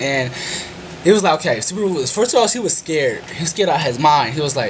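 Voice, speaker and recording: Amid noticeable background noise, a man with a fairly high pitch talks very fast with ordinary pitch variation. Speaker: anime reviewer. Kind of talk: video review monologue.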